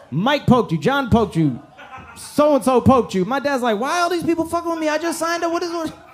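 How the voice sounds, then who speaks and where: Noticeable background noise sits under a man with an American accent. His pitch is extremely high, and he talks at a very fast pace. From Iran, raised in the US. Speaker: stand-up comedian. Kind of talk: stand-up. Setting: comedy club stage with audience. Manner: animated.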